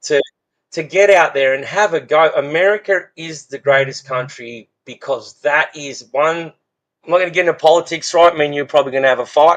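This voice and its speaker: Speaking at a fairly quick pace in an Australian accent, a man uses a fairly high pitch with ordinary variation. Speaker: fence business owner. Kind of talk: casual podcast conversation.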